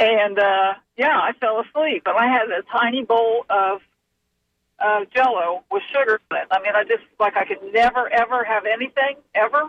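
A woman with a plain, everyday voice and a fairly high pitch talks at a moderate pace with ordinary pitch variation. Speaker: caller. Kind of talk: call-in question. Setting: phone call.

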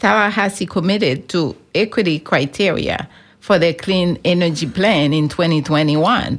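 An ordinary speaking voice from a woman, fairly low in pitch, fairly slow, with ordinary pitch variation, very even loudness and a very clean recording over a silent background. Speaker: climate advocacy program director. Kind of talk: radio interview.

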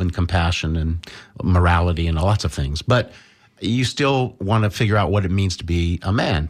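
Very deep, low male voice on a very clean recording with a silent background. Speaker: studio guest and political commentator. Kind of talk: casual talk radio discussion. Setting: radio studio. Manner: hesitant, many filler words.

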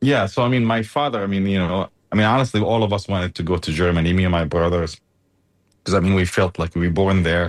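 With an Arabic accent, the speech races along at a very fast pace with ordinary pitch variation. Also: man. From Gaza. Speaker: engineer. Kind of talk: interview. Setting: remote call.

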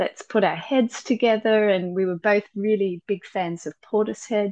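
Here a woman speaks with an Australian accent. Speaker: musician. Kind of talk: casual interview chat. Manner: animated, enthusiastic.

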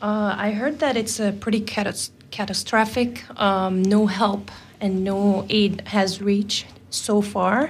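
A woman speaks at a very slow pace in a medium pitch. Her intonation is fairly even and her loudness very even. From Syria. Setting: radio studio.

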